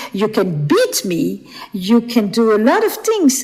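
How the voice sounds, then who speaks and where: A woman's voice over noticeable background noise. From Flemish Belgium. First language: Flemish (Dutch). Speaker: author and relationship expert. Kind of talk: podcast interview.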